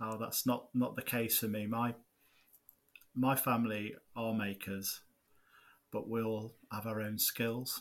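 A man with an East Midlands accent speaks very slowly at a medium pitch, his intonation flat and monotone, on a very clean recording with a silent background. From Nottinghamshire, England. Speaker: podcast co-host, gardener and YouTube maker. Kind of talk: casual chat.

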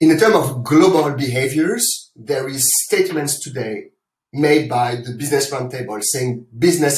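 Somewhat breathy, this man's voice sits at a fairly high pitch. He keeps a moderate pace. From France. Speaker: corporate sustainability executive. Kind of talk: interview.

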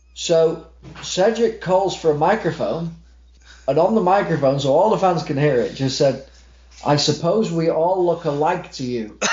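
A man with an American accent talks at a moderate pace in a high pitch, with ordinary pitch variation. There is audible room echo. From Manchester, England. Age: 30s. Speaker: wrestling ring announcer. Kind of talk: casual chat.

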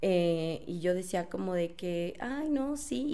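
Her intonation lively and her pitch medium, a woman speaks. Both room echo and noticeable background noise come through. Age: 30s. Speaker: marketing professional. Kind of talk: casual chat.

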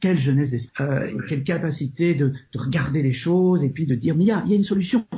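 The speaker is somewhat breathy, moving at a fairly quick pace with lively intonation. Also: man. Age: 50s. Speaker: psychotherapist and author. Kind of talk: interview. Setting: remote call. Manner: halting.

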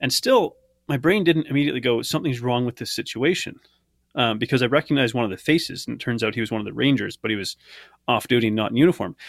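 A man with a medium pitch speaks at a very fast pace with ordinary pitch variation, in a dry, close sound with no echo and a very clean recording against a silent background. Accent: Canadian. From Canada. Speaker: former researcher and English teacher. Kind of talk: interview, personal testimony.

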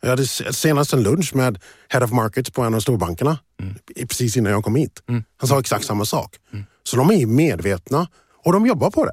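In a very clean recording with a silent background and a dry, close sound with no echo, a somewhat breathy man at a medium pitch speaks at a fairly quick pace with lively intonation. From USA, moved to Sweden at 12. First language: English (speaking Swedish). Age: 40s. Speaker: finance professional and diversity advocate. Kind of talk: interview conversation.

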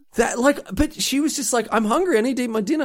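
A man speaks in an animated tone with an Australian accent. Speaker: podcast co-host. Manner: animated, rambling storyteller.

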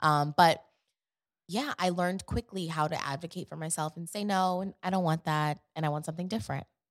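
Using an ordinary speaking voice, a woman talks fairly quickly at a fairly low pitch with ordinary pitch variation, dry and close with no echo, on a very clean recording with a silent background. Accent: American. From Queens, New York and Atlanta. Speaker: professional dancer and actress. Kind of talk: casual interview chat.

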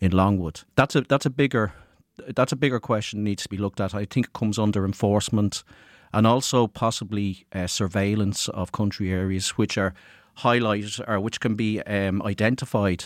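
In a very clean, dry, close recording with a silent background and no echo, a man speaks with an Irish accent. He talks fairly quickly at a fairly low pitch with fairly even intonation. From rural Ireland. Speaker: college student. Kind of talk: student podcast discussion. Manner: hesitant, frequent uh.

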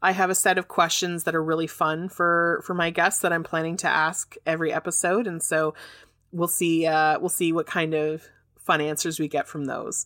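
A woman with a Canadian accent and a fairly low pitch has a bright, sharp tone in a very clean recording with a silent background and a dry, close sound with no echo. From Canada. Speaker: podcast host and fair trade business owner. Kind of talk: scripted-style solo podcast talk, educational. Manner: enthusiastic, friendly.

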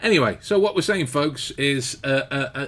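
Spoken at a moderate pace with lively intonation and an English accent, the voice comes through on a very clean recording against a silent background. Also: man. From England. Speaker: podcast co-host, author. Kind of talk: casual chat. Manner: animated.

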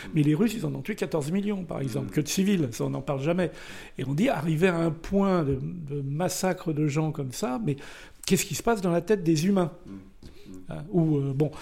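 A man with a dark, mellow tone and fairly high pitch speaks with long, frequent pauses in a very clean recording with a silent background. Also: ordinary pitch variation, moderate pace. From Brittany, France. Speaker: war photographer. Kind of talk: casual chat.

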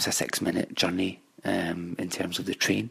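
In a Glasgow accent, a man with a very deep, low voice speaks at a fairly slow pace. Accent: Scottish (Glasgow). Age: 20s. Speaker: commercial property analyst. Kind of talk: recorded monologue about his city.

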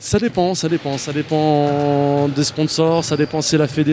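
A normal speaking voice, intonation fairly even. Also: man. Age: 30s. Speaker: wheelchair basketball player. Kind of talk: interview.

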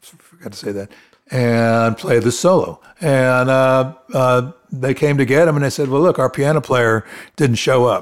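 The voice shows big swings in loudness along with ordinary pitch variation. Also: man, medium pitch for a man, moderate pace. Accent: American. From Florida. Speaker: keyboard player. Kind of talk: casual interview. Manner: halting.

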